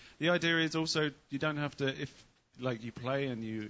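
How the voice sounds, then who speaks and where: The man speaks at a fairly quick pace with ordinary pitch variation. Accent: English. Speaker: sound engineer recording the show. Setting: stage. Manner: hard to understand, mumbles.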